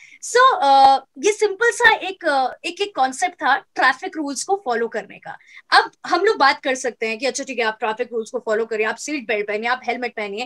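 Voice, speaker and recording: A woman speaks at a moderate pace in a high pitch, with very wide pitch swings, big shifts in loudness, hardly any pauses, and a bright, sharp tone in a dry, close recording with no echo. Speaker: radio jockey. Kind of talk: interview answer. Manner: fluent, lively.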